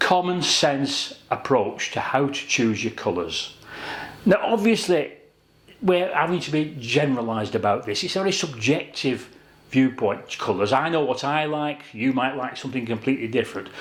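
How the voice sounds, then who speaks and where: A man with a British accent speaks at a moderate pace. His fairly high voice has lively intonation. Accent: British regional accent, noticeable. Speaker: kitchen designer. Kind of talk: tutorial. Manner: conversational, measured.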